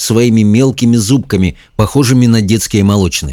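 What you hear is plain reading aloud.

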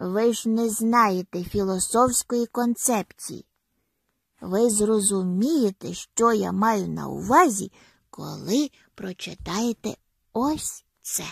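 A woman puts on a character voice at a medium pitch, with vocal fry and a slightly husky edge. She goes at a slow pace with ordinary pitch variation, in a dry, close sound with no echo.

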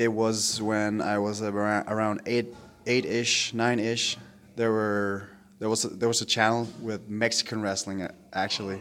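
The man talks at a medium pitch with monotone, flat intonation in a very clean recording with a silent background. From Denmark. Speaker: professional wrestler. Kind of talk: interview. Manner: halting, with many fillers.

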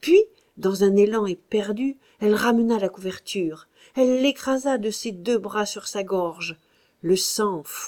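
The reading voice sounds natural, and its pitch moves in an ordinary way.

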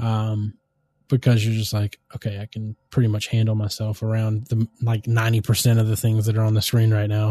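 Against a quiet background, a man's fairly low, somewhat breathy voice has a dark, mellow tone and monotone, flat intonation, captured with a dry, close sound and no echo. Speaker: podcast host. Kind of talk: casual banter podcast. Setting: home recording with old mic equipment. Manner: joking, playful.

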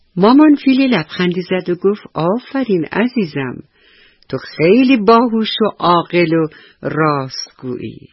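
Lively intonation in an unforced reading voice

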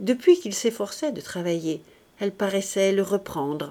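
The reading voice stays unforced while the intonation moves in a lively way.

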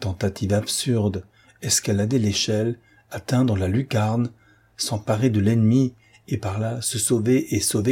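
This is a natural reading voice. The words come across in a natural reading voice.

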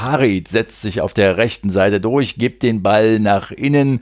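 A man speaks at a fairly low pitch with ordinary pitch variation, recorded very cleanly against a silent background. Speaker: football podcast host. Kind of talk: solo match recap podcast.

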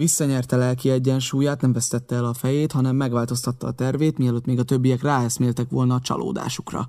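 The clip is plain reading aloud, its intonation fairly even.

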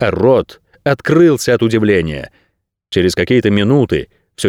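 Against a quiet background, the voice does plain reading aloud with lively intonation.

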